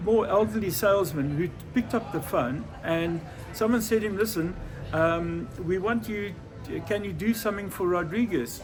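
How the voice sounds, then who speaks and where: Music plays in the background and room echo is audible as a man speaks at a high pitch and moderate pace, his pitch varying in an ordinary way. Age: 70s. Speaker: record store owner and musician. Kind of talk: interview storytelling. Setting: record store.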